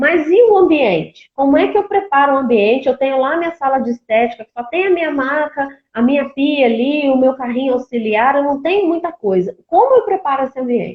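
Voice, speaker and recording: Fairly quick and with hardly any pauses, a woman speaks at a high pitch with lively intonation. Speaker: cosmetics brand presenter. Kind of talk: live-stream tutorial.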